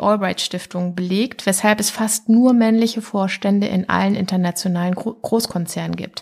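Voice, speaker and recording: A woman's medium-pitched, ordinary speaking voice, with ordinary pitch variation, at a fairly slow pace. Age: 40s. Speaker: pediatric surgeon. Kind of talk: interview. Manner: formal.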